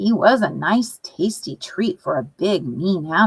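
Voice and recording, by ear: Someone is reading aloud in a natural voice.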